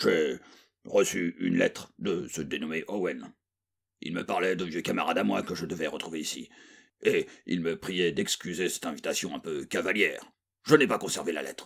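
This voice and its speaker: Soft-spoken and raspy, a man performs in a put-on character voice. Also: moderate pace. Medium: read story. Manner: murmuring, terse.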